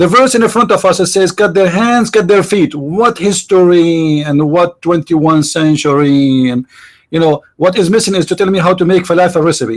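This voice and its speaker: A man speaks with an Arabic accent. His pitch is high. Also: ordinary pitch variation, moderate pace, very even loudness. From Middle East. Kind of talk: heated debate. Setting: online voice chat room.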